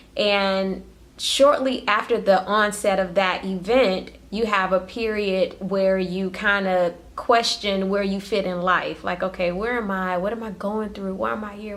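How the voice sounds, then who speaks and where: A woman's medium-pitched voice with ordinary pitch variation and big swings in loudness, hardly any pauses, over noticeable background noise. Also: moderate pace. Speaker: spiritual vlogger. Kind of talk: impromptu solo vlog talk. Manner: stuttering at times; casual, conversational.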